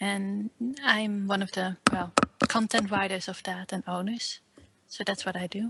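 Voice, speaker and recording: In a Dutch accent, a woman speaks at a moderate pace and medium pitch, with monotone, flat intonation and long, frequent pauses. The sound is dry and close with no echo, though noticeable background noise is present. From Netherlands. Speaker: fan website owner and writer. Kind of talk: interview.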